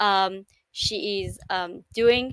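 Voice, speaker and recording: The sound is dry and close with no echo as a woman with an Israeli accent speaks in a bright, sharp, medium-pitched voice with fairly even intonation. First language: Hebrew. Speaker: livestream host. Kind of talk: casual chat. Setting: live stream. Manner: halting.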